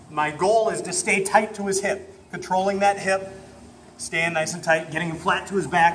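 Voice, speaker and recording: Amid audible room echo and noticeable background noise, a man talks at a moderate pace in a high pitch with fairly even intonation. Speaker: jiu-jitsu instructor. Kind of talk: martial arts class instruction. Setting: gym class with students.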